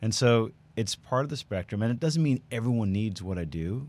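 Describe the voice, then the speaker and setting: Over a silent background in a very clean recording, a man with an American accent and an unremarkable speaking voice talks at a fairly quick pace with ordinary pitch variation. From New York. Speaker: plastic surgeon. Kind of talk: casual chat.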